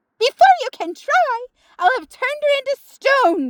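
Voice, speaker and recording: This loud, shrill, put-on character voice sits at an extremely high pitch. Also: moderate pace. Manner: threatening, gloating.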